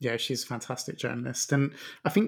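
On a very clean recording with a silent background, a man of medium pitch talks at a moderate pace in a plain, everyday voice. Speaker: podcast host. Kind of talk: casual interview. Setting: studio.

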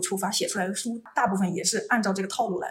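This is a woman's voice. She talks at a very fast pace. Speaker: postdoctoral researcher in population genetics. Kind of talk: casual interview explaining science.

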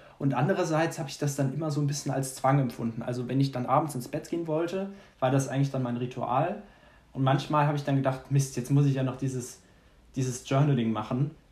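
A man talks at a very fast pace with a somewhat breathy sound. His intonation stays fairly even. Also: fairly high pitch for a man. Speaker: podcast host. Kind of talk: casual chat.

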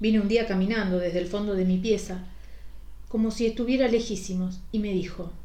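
Long, frequent pauses break up a woman's moderate pace, her medium-pitched voice carrying a dark, mellow tone and fairly even intonation. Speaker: podcast host reading a short story. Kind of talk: ghost story narration, first-person scripted reading.

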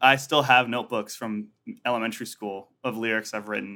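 This man has a bright, sharp tone and talks at a fairly quick pace. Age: 20s. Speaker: musician. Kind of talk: casual chat. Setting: video call.

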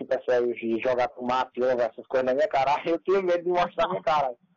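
Speaking in a normal speaking voice, a man at a medium pitch talks at a fairly quick pace with ordinary pitch variation. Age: 20s. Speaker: youtuber and comedian. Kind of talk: casual interview chat.

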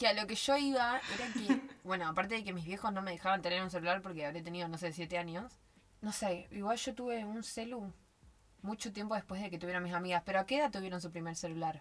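A woman at a very fast pace, ordinary pitch variation, with noticeable background noise. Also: medium pitch for a woman. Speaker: podcast co-host. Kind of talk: casual chat. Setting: recording inside a wardrobe at home.

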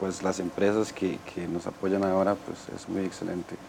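A man's very deep, low voice in a flat monotone at a fairly slow pace. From southern Costa Rica, Golfito. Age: 30s. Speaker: wheelchair user, course participant. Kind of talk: TV panel discussion.

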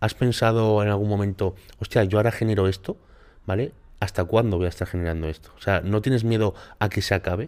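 A man with a fairly low pitch and fairly even intonation speaks very fast on a very clean recording with a silent background. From Málaga, southern Spain. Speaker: podcast host, bodybuilder and content creator. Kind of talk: casual interview.

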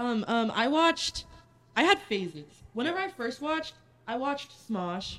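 Using long, frequent pauses, a woman with an American accent and a high pitch talks at a moderate pace with very wide pitch swings. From Texas. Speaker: podcast co-host. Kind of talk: casual chat. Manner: talkative.

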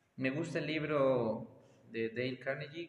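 Noticeable background noise behind a man's medium-pitched voice with fairly even intonation. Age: 20s. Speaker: taekwondo and fitness instructor. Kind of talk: casual interview. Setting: taekwondo studio.

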